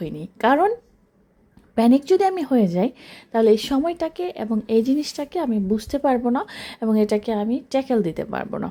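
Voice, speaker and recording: A woman's high, dark, mellow voice with a Bangladeshi accent and very wide pitch swings, on a very clean recording with a silent background. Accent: Bangladeshi Bengali. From Bangladesh (rural). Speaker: business mentor and coach. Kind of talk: motivational talk to camera.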